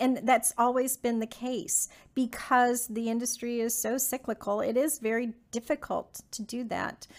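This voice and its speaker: A woman with a high voice speaks at a fairly slow pace. The recording is very clean, with a silent background. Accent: Texan. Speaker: business owner. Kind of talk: interview.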